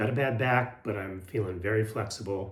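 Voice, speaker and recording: Somewhat breathy and fairly low, a man's voice moves at a fairly slow pace. Room echo is audible. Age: 60s. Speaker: health and lifestyle vlogger. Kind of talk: casual motivational talk to camera. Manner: hesitant, many fillers and repeats.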